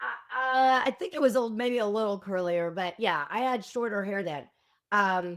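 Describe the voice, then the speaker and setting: A woman with an unremarkable speaking voice talks at a medium pitch and a moderate pace. Her intonation is lively, and the recording is very clean with a silent background. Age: 60s. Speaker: former school principal, reality show contestant. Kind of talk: casual interview chat.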